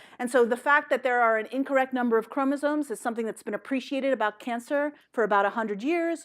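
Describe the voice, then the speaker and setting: A woman with a high voice and ordinary pitch variation talks at a very fast pace on a very clean recording with a silent background. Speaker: biology professor. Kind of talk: lecture. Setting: seminar room with audience. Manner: casual, lively.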